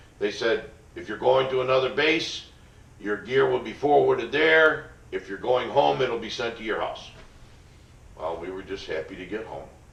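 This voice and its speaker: Over noticeable background noise, a man with an American accent talks at a moderate pace, his loudness swinging widely and his speech broken by long, frequent pauses. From upstate New York, USA. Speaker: Vietnam veteran. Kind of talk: interview answer, recounting personal history. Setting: college interview recording.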